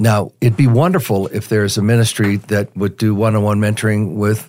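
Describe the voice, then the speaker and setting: A man with a fairly low pitch and a General American accent uses an ordinary speaking voice at a fairly quick pace. The recording is very clean, with a silent background. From Colorado, Denver. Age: 60s. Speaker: retired sales executive and mentoring ministry volunteer. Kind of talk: interview.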